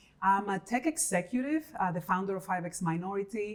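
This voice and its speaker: A woman with a Dominican accent, medium pitch, and ordinary pitch variation. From Dominican Republic, Santo Domingo. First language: Spanish. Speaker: tech executive and founder. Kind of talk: interview.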